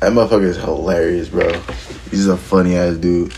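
A man with a very deep, low pitch, with noticeable background noise and audible room echo. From Philadelphia area, US. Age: 20s. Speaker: professional skateboarder. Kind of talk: casual interview chat.

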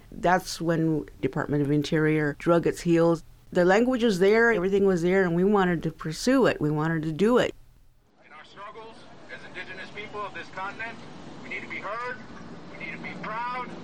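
Speaking with an American accent, this is a plain, everyday voice with ordinary pitch variation. The pace is fairly quick. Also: woman, medium pitch for a woman. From Death Valley, California, Timbisha Shoshone.

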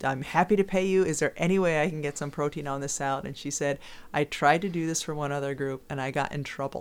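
On a very clean recording with a silent background, a woman with a very deep, low pitch and an American accent speaks at a fairly quick pace with ordinary pitch variation. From US East. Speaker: podcast co-host. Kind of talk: casual chat.

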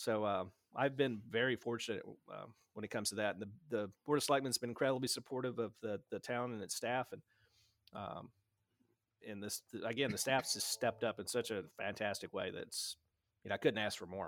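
A man with a Tennessee accent speaks at a fairly quick pace and a medium pitch, with long, frequent pauses, in a dry, close recording with no echo. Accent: Southern US (Tennessee), noticeable. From West Tennessee, US South. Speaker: town administrator, Navy veteran. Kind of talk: casual interview. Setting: video call.

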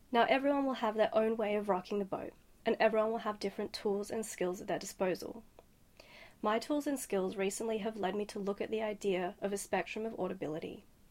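Someone with an Australian accent talks at a very fast pace with ordinary pitch variation. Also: woman. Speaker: sound artist. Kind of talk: scripted advice message.

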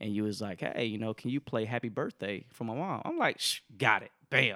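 A man with an American accent speaks at a fairly quick pace, his medium pitch moving with ordinary variation. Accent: Southern accent pretty much gone. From Alabama, US South. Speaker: engineer and part-time DJ. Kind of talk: casual chat.

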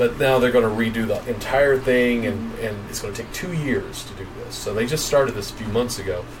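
A man talks at a fairly quick pace. Room echo is audible, and background noise is noticeable. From East Tennessee (Johnson City). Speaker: podcast co-host, video producer. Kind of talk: casual live chat.

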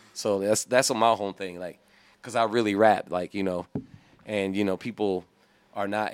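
With an American accent, a man uses an unremarkable speaking voice at a fairly low pitch, talking at a fairly quick pace with fairly even intonation. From Illinois. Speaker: hip hop artist. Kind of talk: casual interview chat.

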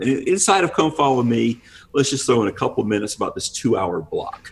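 A man speaks in a fairly high, somewhat breathy voice. His intonation is lively. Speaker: recurring podcast guest. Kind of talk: casual chat. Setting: video call.

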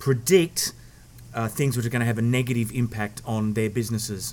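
Speaking with an Australian accent, a man keeps a medium pitch and fairly even intonation. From Australia, Sydney. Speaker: sports journalist. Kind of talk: casual chat. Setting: outdoors.

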